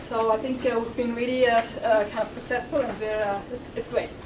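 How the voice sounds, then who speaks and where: A woman's high voice at a moderate pace, with noticeable background noise and audible room echo. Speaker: sociology professor introducing a lecture. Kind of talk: formal welcome and announcements at a public lecture. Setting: lecture room with live audience. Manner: trying to speak louder; hesitant, many fillers.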